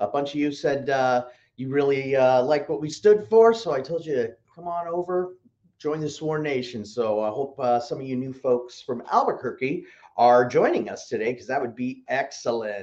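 A man's intonation moves in a lively way as he talks at a medium speed. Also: quiet background. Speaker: online shop show host. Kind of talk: casual livestream host chat. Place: studio.

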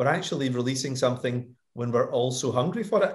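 A somewhat breathy man speaks fairly quickly, his pitch swinging very widely. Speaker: guest. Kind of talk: interview answer. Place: home room. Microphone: video call.

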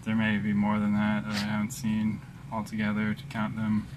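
A man speaks at a fairly quick pace in a fairly low voice over noticeable background noise. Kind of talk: casual vlog chat. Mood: frustrated but resigned. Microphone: phone near.

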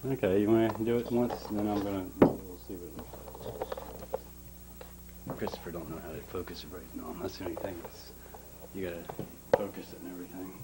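A man talks at a fairly quick pace as loud background noise fills the clip. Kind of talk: casual home video chat. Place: home room. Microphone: old recording.

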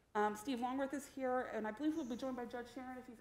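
A woman speaks with monotone, flat intonation. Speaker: presenter. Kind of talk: meeting presentation.

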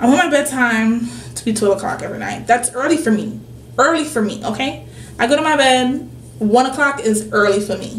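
Loudness swings widely as the speaker moves at a fairly quick pace with ordinary pitch variation, with audible room echo and light background noise. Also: woman, high pitch for a woman. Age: 20s. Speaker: lifestyle vlogger. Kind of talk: casual vlog monologue. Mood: relaxed, slightly nauseous. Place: home room. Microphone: webcam.

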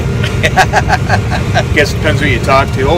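With loud noise all around, a man's voice comes through dry and free of any echo. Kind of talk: interview answer. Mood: relaxed, good-humored. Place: farm machine. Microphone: phone near.

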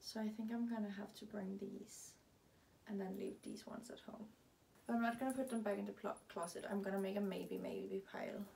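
A woman with a Danish accent speaks fairly quickly in a dark, mellow tone at medium pitch, with vocal fry. Her intonation is monotone and flat, over light background noise. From Denmark. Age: 20s. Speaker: lifestyle vlogger; vlogger. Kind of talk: casual vlog monologue. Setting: at home in her closet. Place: home room. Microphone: camera far.

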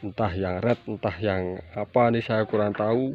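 Over light background noise, a man with a fairly low pitch speaks at a fairly slow pace with fairly even intonation and a dry sound with no echo. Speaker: plant seller. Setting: filming at home garden, showing plants to camera. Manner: repeats prices and phrases twice for emphasis. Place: garden. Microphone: phone near.

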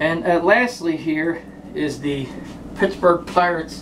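A man with an American accent speaks in a high voice. Background noise is noticeable. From South Jersey, US; New Jersey. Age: 40s. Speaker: sports memorabilia vlogger. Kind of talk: casual monologue. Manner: rambling, hesitant with fillers. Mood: relaxed, joking. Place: home room. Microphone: phone near.

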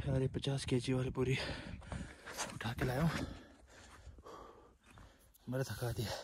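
A man speaks at a fairly slow pace with a medium pitch and little pitch movement. His tone is slightly mellow with a slightly husky edge.

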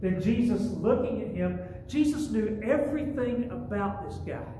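A man speaks at an extremely high pitch. Audible room echo and light background noise surround him. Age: 60s. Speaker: pastor. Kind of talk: sermon. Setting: church. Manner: conversational. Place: church. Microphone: camera far.

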